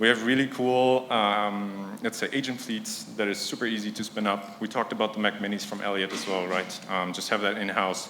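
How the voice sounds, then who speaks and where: Fairly quick speech in a non-native accent with hardly any pauses and fairly even intonation, plus noticeable background noise and audible room echo. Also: man, fairly low pitch for a man. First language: not English. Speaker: conference speaker, startup product executive. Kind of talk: conference talk. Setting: stage with audience. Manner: casual, filler-heavy.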